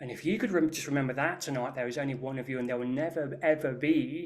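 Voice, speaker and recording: Speaking in an English Midlands accent, a man uses fairly even intonation. His pitch is fairly high. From English Midlands, near Birmingham. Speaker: Reiki master and energy healer. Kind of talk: interview chat. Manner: hesitant, with fillers and restarts.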